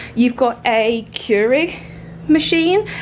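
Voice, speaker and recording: Over noticeable background noise, a woman speaks very slowly in a high voice with ordinary pitch variation. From England. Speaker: travel vlogger. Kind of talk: casual vlog talk to camera.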